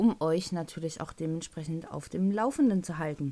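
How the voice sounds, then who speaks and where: A woman with a Thuringian accent talks at a moderate pace in a dark, mellow tone. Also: very clean recording, silent background. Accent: Thuringian dialect, picked up. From North Rhine-Westphalia, Germany. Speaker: podcast host. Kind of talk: casual solo podcast monologue.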